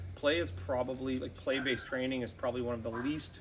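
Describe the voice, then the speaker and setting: A man's voice, a normal speaking voice, medium in pitch, with ordinary pitch variation. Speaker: dog trainer. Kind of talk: tutorial.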